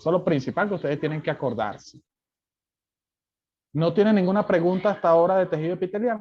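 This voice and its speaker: Loud and very fast, a man speaks in a high pitch broken by long, frequent pauses. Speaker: lecturer. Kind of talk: lecture. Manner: softer than usual, with pauses; normally loud in class.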